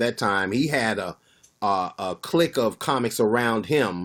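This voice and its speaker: The voice is a plain, everyday voice, moving at a fairly slow pace on a very clean recording with a silent background. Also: man. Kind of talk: casual chat.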